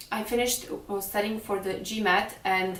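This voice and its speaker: Speech moves at a moderate pace. Noticeable background noise and audible room echo come through. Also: woman. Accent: Serbian. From Serbia. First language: Serbian. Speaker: fashion blogger. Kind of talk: vlog monologue. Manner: hesitant.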